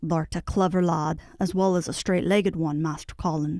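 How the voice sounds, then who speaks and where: In a put-on character voice with a Yorkshire accent, a woman sounds gruff at a fairly low pitch. Her intonation is monotone and flat, and her pace is moderate. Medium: read story. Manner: dry, gruff.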